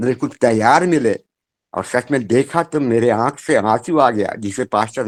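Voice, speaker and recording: A man talks in a plain, everyday voice. The sound is dry and close, with no echo. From Madhya Pradesh, India. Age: 60s. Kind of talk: testimony. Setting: remote call from home.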